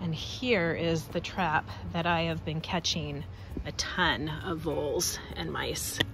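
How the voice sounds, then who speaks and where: A woman speaks at a very slow pace. Room echo and noticeable background noise surround her voice. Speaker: gardening vlogger. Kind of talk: casual walkthrough vlog. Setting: outdoors in garden.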